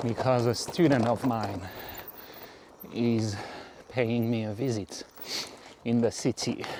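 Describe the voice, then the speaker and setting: A man talks at a very slow pace in a medium pitch, his intonation fairly even. Noticeable background noise runs behind him. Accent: French. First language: French. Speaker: cycling vlogger. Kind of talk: casual ride commentary. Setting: outdoors on a bike. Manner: halting.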